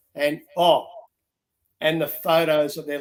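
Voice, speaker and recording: Spoken with an Australian accent, the delivery is fairly slow, with monotone, flat intonation. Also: man. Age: 60s. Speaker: reality show contestant. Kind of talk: interview. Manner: halting.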